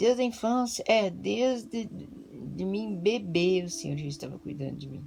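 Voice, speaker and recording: The woman's pace is fairly slow. She leaves hardly any pauses. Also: big swings in loudness. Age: 60s. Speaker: pastor. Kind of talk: testimony. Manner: halting.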